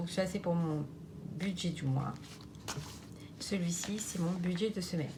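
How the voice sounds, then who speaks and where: Speaking at a fairly slow pace with long, frequent pauses, a woman keeps her intonation fairly even while room echo can be heard. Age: 30s. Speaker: budgeting vlogger. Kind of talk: casual vlog tutorial. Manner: halting, many fillers.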